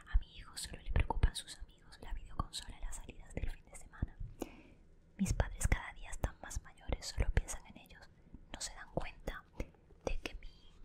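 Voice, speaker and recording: A woman is whispering. Her loudness swings widely. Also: moderate pace. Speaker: ASMR creator playing a best friend. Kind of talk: whispered reading aloud from a self-help book. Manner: whispered, soft. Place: home room. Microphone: studio mic.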